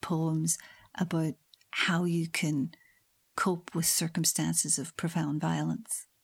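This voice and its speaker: A woman with a Northern Irish accent, fairly low in pitch, at a fairly slow pace with fairly even intonation. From Northern Ireland. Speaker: history professor. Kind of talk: interview. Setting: remote call from her office.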